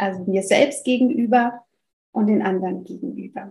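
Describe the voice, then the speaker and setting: Speaking slowly in a French accent, a woman uses a medium pitch with ordinary variation and a somewhat breathy, dark, mellow tone. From France. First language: French (speaking German). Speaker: family counselor and parenting coach. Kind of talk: interview conversation.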